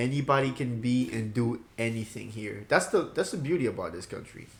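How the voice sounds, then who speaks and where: This man's somewhat breathy voice sits at a medium pitch, moving at a fairly quick pace with lively intonation. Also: big swings in loudness. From Ivory Coast. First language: French. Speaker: podcast co-host. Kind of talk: casual chat.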